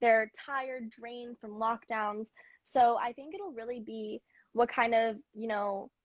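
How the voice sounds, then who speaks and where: A woman's normal speaking voice in a General American accent, fairly high in pitch, fairly slow and fairly even in intonation, dry and close with no echo. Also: quiet background. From US, Mid-Atlantic. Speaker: singer. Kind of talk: interview answers.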